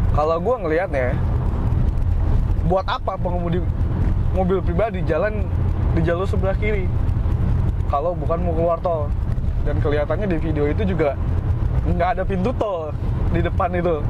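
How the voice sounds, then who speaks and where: Loud background noise surrounds a man talking at a fairly quick pace, his voice dry with no echo. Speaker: driver vlogger. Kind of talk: casual vlog chat. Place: car. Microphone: camera far.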